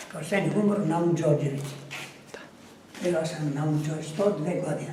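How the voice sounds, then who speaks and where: With noticeable background noise and audible room echo, a man with a fairly high-pitched voice speaks at a moderate pace and with fairly even intonation. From Greece, Thessaloniki (Serbian family). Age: 80s+. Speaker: cemetery caretaker. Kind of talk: guided tour talk. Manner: halting.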